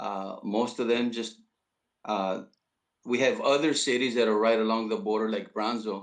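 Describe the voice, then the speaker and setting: A man's medium-pitched voice at a moderate pace, with monotone, flat intonation. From South Texas. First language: Spanish. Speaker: high school principal. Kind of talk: interview. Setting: live video call. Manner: halting.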